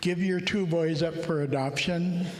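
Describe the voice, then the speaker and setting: Audible room echo colors the audio. Noticeable background noise is also heard. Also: man. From Alaska. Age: 70s. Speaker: conference speaker. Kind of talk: personal testimony talk. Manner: halting, many fillers.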